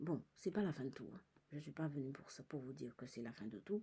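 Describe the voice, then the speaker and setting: A soft-spoken, somewhat breathy woman with a very deep, low voice, a dark, mellow tone, lively intonation and a moderate pace. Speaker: psychic medium vlogger. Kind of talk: personal vlog monologue. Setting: in a cinema.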